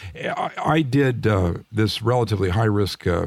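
A normal speaking voice, this man talks at a fairly low pitch with ordinary pitch variation. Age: 60s. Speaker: retired physician and author. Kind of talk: interview.

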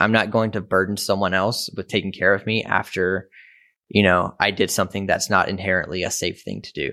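Speaking at a fairly quick pace with an American accent, a man has a fairly low pitch, a bright, sharp tone and monotone, flat intonation, in a very clean recording with a silent background. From US South, rural Mississippi. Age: 20s. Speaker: photographer and videographer. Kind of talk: interview.

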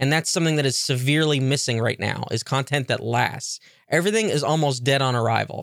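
Talking at a very fast pace, a man with a fairly high pitch keeps his loudness very even and his pitch variation ordinary, in a very clean recording with a silent background. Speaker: podcast host. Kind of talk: angry rant about a video game. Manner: ranting, irritated, profane, sarcastic; rambling, casual, self-deprecating.

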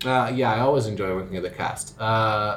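A somewhat breathy man with lively intonation. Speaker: school musical director. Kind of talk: interview. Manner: casual, hesitant with fillers.

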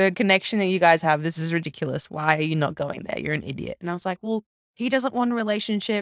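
With an Australian accent, a woman talks in a fairly low voice. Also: dry, close sound with no echo. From Australia, Brisbane. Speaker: podcast co-host and primary school teacher. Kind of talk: casual chat.

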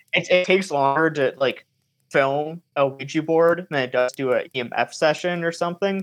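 Recorded with a dry, close sound and no echo, a man with an American accent uses a normal speaking voice at a fairly high pitch, a moderate pace and ordinary pitch variation. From Michigan. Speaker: paranormal filmmaker and podcaster. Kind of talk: casual chat.

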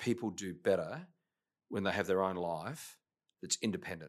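The recording is very clean, with a silent background. In it a man talks at a fairly low pitch. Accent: Australian. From Australia, Adelaide. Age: 50s. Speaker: business executive. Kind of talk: interview. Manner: hesitant, many fillers.

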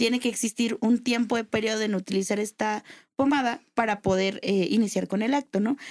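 A woman with a normal speaking voice, fairly high in pitch, talks at a fairly quick pace with fairly even intonation in a dry, close sound with no echo. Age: 20s. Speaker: lawyer and adult toy seller. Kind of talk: casual chat.

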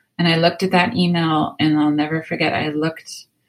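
Speaking with an American accent, a woman uses a plain, everyday voice, fairly low in pitch, at a moderate pace. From rural US. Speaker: author. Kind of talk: interview.

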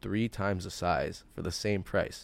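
On a very clean recording with a silent background, a man speaks with a Toronto accent and fairly even intonation. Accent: Canadian (Toronto). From Toronto area, Canada. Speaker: sneaker store founder. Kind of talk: casual interview. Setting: in his sneaker store.

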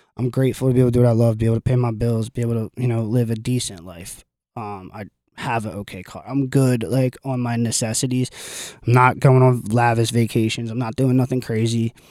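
On a very clean recording with a silent background, a man speaks very fast in a dark, mellow, medium-pitched voice. His intonation is monotone and flat, while his loudness swings widely. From South Jersey. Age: 30s. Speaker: vintage store owner. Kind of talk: casual interview. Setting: in his store.

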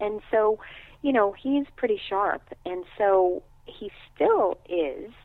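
Here a woman is speaking. She has a New York accent. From New York City. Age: 50s. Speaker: acupuncture physician. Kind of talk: interview.

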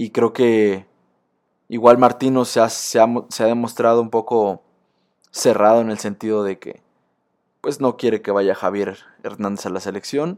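In a Mexican accent, a man talks with fairly even intonation and long, frequent pauses, recorded very cleanly with a silent background. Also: medium pitch for a man, fairly slow pace. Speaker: sports podcaster. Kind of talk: casual monologue.

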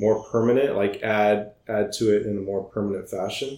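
A man with an American accent has a plain, everyday voice at a medium pitch. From US Midwest (Iowa). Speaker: architect. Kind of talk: casual interview.

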